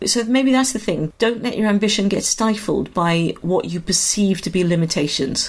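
A woman's voice sits at medium pitch with ordinary pitch variation. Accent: South Wales. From Wales, Swansea. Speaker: musical theatre director and drama school founder. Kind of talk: interview.

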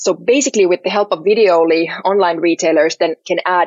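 A woman with a Finnish accent at a fairly quick pace. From Finland, Helsinki. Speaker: startup CEO and co-founder. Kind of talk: podcast interview.

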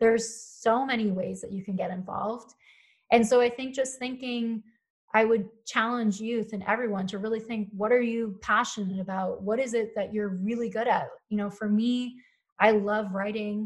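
A woman's fairly high, somewhat breathy voice at a moderate pace, with monotone, flat intonation. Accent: American. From US Northeast, Philadelphia. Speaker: climate activist and writer. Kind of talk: interview.

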